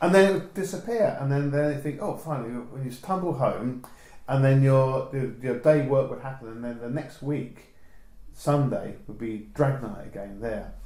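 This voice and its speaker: A man speaks at a moderate pace and medium pitch, with ordinary pitch variation and big swings in loudness. Room echo is audible, and background noise is noticeable. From southern England. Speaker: photographer. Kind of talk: oral history interview. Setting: home interview. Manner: halting, many restarts.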